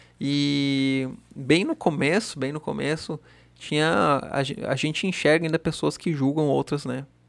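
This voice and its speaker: A man has a normal speaking voice, fairly high in pitch with fairly even intonation. He talks at a fairly slow pace in a very clean recording with a silent background. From Santa Catarina highlands (Lages), family from Rio Grande do Sul. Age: 30s. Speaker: firefighter aircrew member and café owner. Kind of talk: casual chat.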